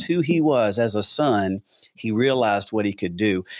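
Speaking in a Southern US accent, a man lets his pitch rise and fall dramatically. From US South, Atlanta, Georgia. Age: 50s. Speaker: pastor. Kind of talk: casual interview.

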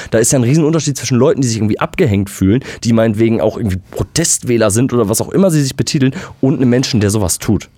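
Very fast and very even in loudness, a man's speech carries a dark, mellow tone and ordinary pitch variation. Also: medium pitch for a man. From West Germany. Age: 20s. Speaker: podcast co-host. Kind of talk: casual chat.

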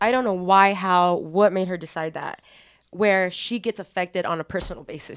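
A woman speaks at medium pitch and a moderate pace on a very clean recording with a silent background. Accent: American. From Texas. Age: 20s. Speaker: guest. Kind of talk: casual conversational podcast.

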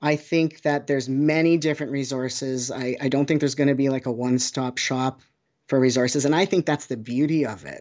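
A man with a Canadian accent and an unremarkable speaking voice speaks at a moderate pace, medium pitch, and fairly even intonation. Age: 40s. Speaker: oncology social worker. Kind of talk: interview.

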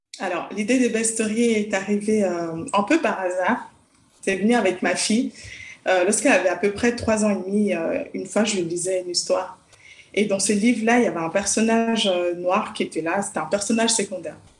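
Over noticeable background noise, a woman talks at a fairly quick pace with a medium pitch. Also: ordinary pitch variation. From Congo (village). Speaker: children's author and psychologist. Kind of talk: interview. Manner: hesitant, with fillers.

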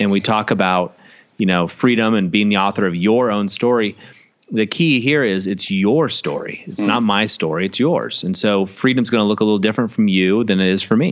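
A man with an American accent speaks in a fairly low pitch. He keeps a fairly quick pace with ordinary pitch variation. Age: 40s. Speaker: business owner and coach. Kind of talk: interview.

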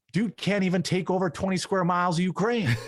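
A man with a normal speaking voice at a fairly high pitch, moderate pace, dry, close sound with no echo, and a very clean recording with a silent background. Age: 30s. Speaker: political commentator YouTuber. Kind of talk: casual interview chat. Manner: casual, filler-heavy.

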